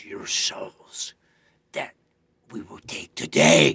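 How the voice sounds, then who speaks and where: This is a put-on character voice from a man. The sound is raspy. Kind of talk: audition scene reading. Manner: menacing, threatening.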